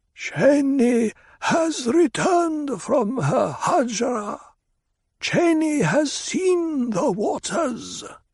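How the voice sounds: A man's put-on character voice, extremely high-pitched and very slow.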